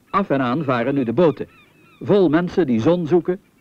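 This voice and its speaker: Through noticeable background noise, a man speaks in a calm, gentle tone with lively intonation. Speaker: documentary narrator. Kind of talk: vintage 1970 nature-documentary voice-over, scripted, formal and authoritative. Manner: calm, didactic, with gentle wonder.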